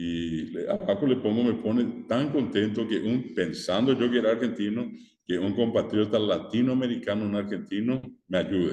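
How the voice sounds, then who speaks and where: A man with a Paraguayan accent speaks at a fairly slow pace in a dark, mellow tone with lively intonation. Room echo is audible. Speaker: teacher. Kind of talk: lecture.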